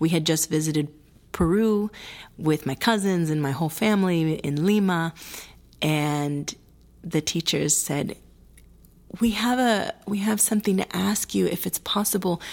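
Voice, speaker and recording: In a very clean recording with a silent background, a woman of fairly low pitch speaks at a fairly slow pace, with long, frequent pauses. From US Wisconsin and Florida. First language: Spanish. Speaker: writer and performer. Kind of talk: interview, personal storytelling.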